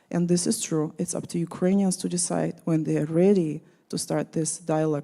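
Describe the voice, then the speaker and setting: A woman's fairly low, dark, mellow voice in a Russian accent, with fairly even intonation at a moderate pace. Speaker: panelist. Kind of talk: panel discussion.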